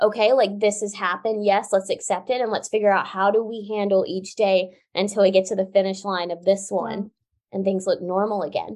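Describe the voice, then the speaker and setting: Against a quiet background, a woman with an American accent talks at a fairly quick pace in a monotone, flat intonation. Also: medium pitch for a woman. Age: 20s. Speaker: Paralympic swimmer and author. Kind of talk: interview conversation.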